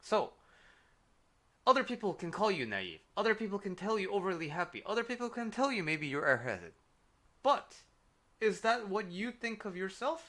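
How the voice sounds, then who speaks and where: A man's raised, projected voice, high-pitched, bright and sharp in tone, broken by long, frequent pauses. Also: moderate pace. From Korea. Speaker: life coach. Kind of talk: livestream advice talk. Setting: livestream. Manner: casual, with fillers.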